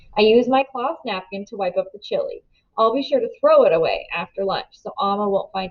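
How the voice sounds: A natural reading voice sounds out against a quiet background.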